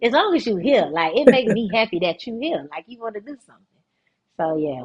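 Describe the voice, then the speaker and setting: With a strong Florida accent, a woman talks at a fairly quick pace in an animated tone. Her fairly high pitch carries vocal fry. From South Florida (Fort Lauderdale). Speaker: dance director and former pro dancer. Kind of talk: casual podcast interview. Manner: animated, casual.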